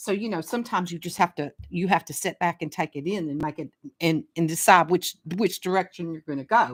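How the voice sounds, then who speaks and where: A woman with a Southern US accent speaks fairly quickly in a fairly low voice, her loudness swinging widely. The recording is very clean with a silent background and a dry, close sound with no echo. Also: ordinary pitch variation. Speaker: astrologer. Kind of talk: casual talk on astrology. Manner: halting, repeats words.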